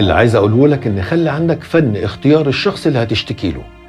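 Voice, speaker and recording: Over music in the background, a man with an Egyptian accent talks at a fairly quick pace with very wide pitch swings. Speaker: voiceover narrator. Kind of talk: motivational advice monologue.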